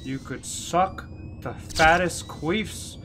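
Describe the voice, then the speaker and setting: A man talks very slowly as noticeable noise carries on behind him. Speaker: gamer streamer. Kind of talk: gameplay commentary. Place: home room. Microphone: headset.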